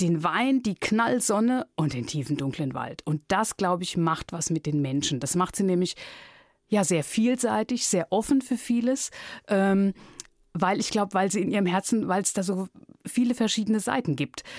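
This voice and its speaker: A woman's an unremarkable speaking voice at medium pitch, moderate pace and lively intonation, dry and close with no echo on a very clean recording with a silent background. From Palatinate, Germany (Neustadt an der Weinstraße). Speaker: radio editor and author. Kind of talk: interview.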